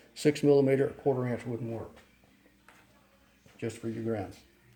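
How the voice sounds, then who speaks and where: The man talks in a dark, mellow tone. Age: 70s. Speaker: DIY repair video maker. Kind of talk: tutorial. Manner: casual, conversational.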